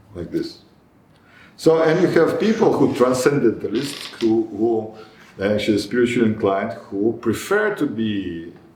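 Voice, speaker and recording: A man's medium-pitched voice with lively intonation at a moderate pace, with audible room echo and noticeable background noise. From Israel. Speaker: spiritual teacher. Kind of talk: lecture; group discussion. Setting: meeting hall with small group. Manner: halting.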